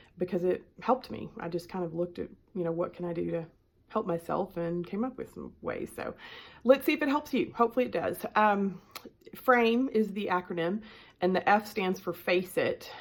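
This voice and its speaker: She has a strong Southern US accent and lively intonation. The woman's medium pitch comes at a moderate pace. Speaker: life coach. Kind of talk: self-help talk to camera. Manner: casual with many filler ums.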